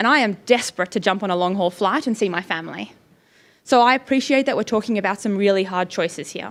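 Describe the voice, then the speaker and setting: A woman speaks very fast with an Australian accent. Her pitch varies in an ordinary way. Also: medium pitch for a woman, very clean recording, silent background. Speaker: climate campaigner. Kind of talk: panel presentation.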